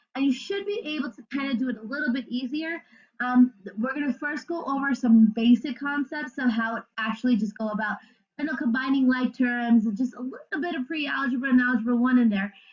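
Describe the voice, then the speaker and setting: A woman talks fairly quickly in a high pitch with ordinary pitch variation. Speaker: math teacher. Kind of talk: tutorial. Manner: fast.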